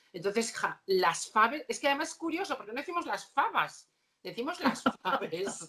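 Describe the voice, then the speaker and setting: Raised and projected, a woman's high voice swings very widely in pitch at a moderate pace. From Asturias, Spain. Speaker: opera singer. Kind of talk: casual chat.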